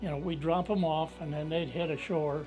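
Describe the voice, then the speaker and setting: Fairly even intonation comes through over music in the background. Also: man. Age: 80s+. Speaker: war veteran. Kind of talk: interview answer. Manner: halting, conversational.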